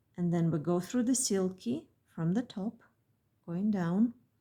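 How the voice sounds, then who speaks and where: A woman speaks with a dark, mellow tone and lively intonation. Her voice is somewhat breathy. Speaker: beadwork designer and tutorial maker. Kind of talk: tutorial. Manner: slow.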